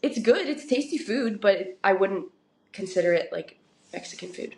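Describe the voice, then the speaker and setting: A woman with an American accent, medium pitch, ordinary pitch variation and a fairly slow pace. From Oregon, US. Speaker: professional soccer player. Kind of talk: podcast interview. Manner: casual, conversational.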